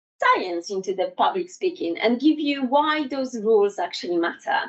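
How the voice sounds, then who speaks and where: Very wide pitch swings at a moderate pace, with a non-native accent. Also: woman. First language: not English. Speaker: public speaking trainer. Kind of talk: workshop presentation. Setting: in-person workshop with live audience. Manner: halting.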